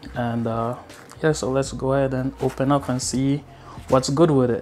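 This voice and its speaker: Faint music plays behind a man speaking in a flat monotone. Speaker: vlogger. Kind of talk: casual unboxing vlog chat. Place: home room. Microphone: lapel.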